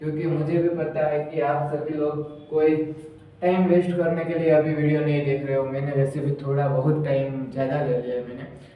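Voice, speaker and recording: Fairly high-pitched man with a Gujarati accent and fairly even intonation, plus audible room echo and noticeable background noise. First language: Gujarati (speaking Hindi). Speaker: commerce teacher. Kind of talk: lecture. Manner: speaking louder than usual.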